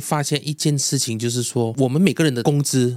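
In a normal speaking voice, a man talks at a moderate pace with medium pitch and ordinary pitch variation. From Malaysia. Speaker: food vlogger. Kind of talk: interview.

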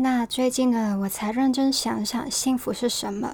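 This woman's voice sits at a high pitch, with fairly even intonation and a fairly slow pace. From Hong Kong. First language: Cantonese (speaking Chinese). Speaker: podcast host. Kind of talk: scripted podcast monologue.

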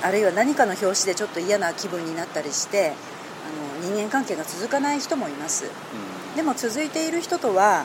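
Her pitch swings very widely around a medium register as this woman talks at a fairly quick pace. Noticeable background noise runs under the speech. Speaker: journalist. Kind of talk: interview.

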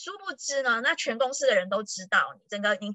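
At a fairly quick pace, a woman speaks in an animated tone. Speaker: tourism board PR professional. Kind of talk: casual chat.

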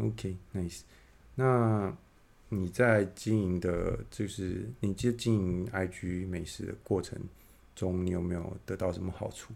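Very slow speech from a man with a very deep, low pitch and ordinary pitch variation. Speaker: podcast host. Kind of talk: casual interview. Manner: halting, many fillers.

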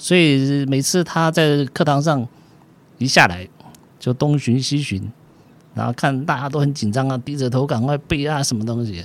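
A man with an ordinary speaking voice talks at a moderate pace, his fairly high pitch showing ordinary variation. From southern Taiwan, military dependents' village. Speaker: physician. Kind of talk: interview storytelling.

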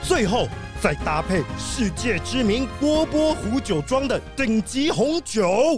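Over faint music in the background, a man does a put-on character voice at an extremely high pitch, speaking slowly with big pitch swings.

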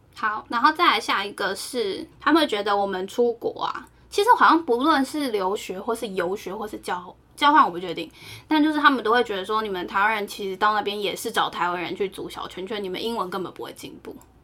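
In a normal speaking voice, a woman talks at a fairly quick pace with fairly high pitch, lively intonation and big swings in loudness. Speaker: podcast co-host. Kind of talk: casual chat.

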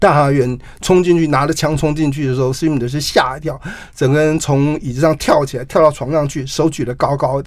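A man with an unremarkable speaking voice talks at a fairly quick pace. His pitch is fairly high and his intonation fairly even. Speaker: journalist and author. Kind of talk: interview.

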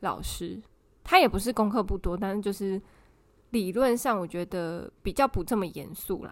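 The speaker talks at a moderate pace with ordinary pitch variation. The voice is in a Taiwanese accent. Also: woman. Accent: Taiwanese Mandarin. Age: 30s. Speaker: podcast co-host, office worker. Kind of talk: casual chat. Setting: remote recording with co-host.

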